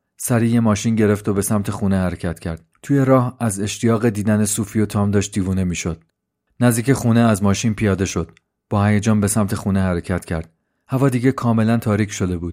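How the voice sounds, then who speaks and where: The speech comes at a very fast pace in a dark, mellow tone with fairly even intonation. The recording is very clean, with a silent background. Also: man, fairly low pitch for a man. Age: 30s. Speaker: podcaster and storyteller. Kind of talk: scripted narration; casual chat.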